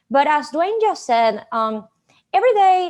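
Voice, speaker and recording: A woman with a Venezuelan accent. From Venezuela, Maracaibo. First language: Spanish. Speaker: conference speaker, digital marketing manager. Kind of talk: conference presentation. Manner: animated.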